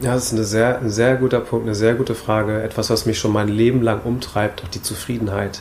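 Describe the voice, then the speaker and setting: There is audible room echo as a man speaks at a medium pitch and a fairly quick pace, with hardly any pauses and a monotone, flat intonation. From Hamburg, northern Germany. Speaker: minimalism blogger and YouTuber. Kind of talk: casual interview conversation. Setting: coworking space, seated on wood shavings.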